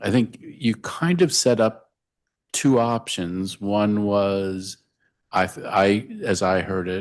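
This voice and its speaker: Very slowly, a man talks in a fairly low pitch. His pitch varies normally over a quiet background. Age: 60s. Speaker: council member at hearing. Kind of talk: oversight hearing questioning. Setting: council hearing room.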